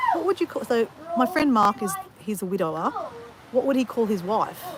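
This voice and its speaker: A woman with an Australian accent talks at a fairly quick pace in a fairly high pitch, her voice making very wide pitch swings. Noticeable background noise sits under her speech. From Australia, Southeast Queensland (north of Brisbane). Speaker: livestreamer vlogger. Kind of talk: casual chat. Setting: outdoors, walking on beach during livestream. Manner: conversational, rambling with fillers.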